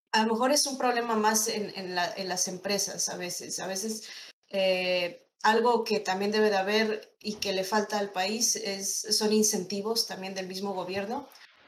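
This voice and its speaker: In a room with audible echo, a woman of medium pitch speaks at a fairly slow pace with fairly even intonation. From State of Mexico. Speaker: animator. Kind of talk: interview.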